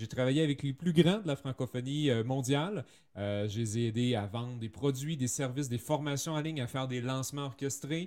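A man speaks with a Canadian French accent. His pitch sits in the middle range. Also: ordinary pitch variation, moderate pace. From French Canada. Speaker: copywriter. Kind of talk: interview.

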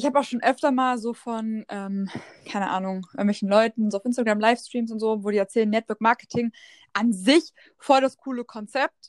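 A woman's fairly high voice shows ordinary pitch variation, with a dry, close sound with no echo and a very clean recording with a silent background. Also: fairly quick pace. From Lower Saxony, near Hannover. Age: 20s. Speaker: social media entrepreneur. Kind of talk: casual chat.

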